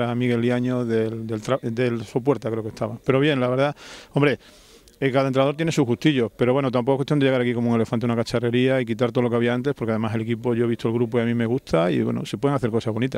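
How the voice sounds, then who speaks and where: Talking at a very fast pace, a man keeps a monotone, flat intonation in a dry sound with no echo. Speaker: football coach. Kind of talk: interview. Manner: repetitive, halting in places. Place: open country. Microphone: handheld.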